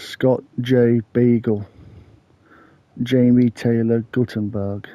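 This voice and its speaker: In an English accent, a man speaks at a very slow pace with a medium-pitched, dark, mellow tone, a monotone, flat intonation and a dry, close sound with no echo. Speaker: true crime YouTuber. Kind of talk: casual true crime narration.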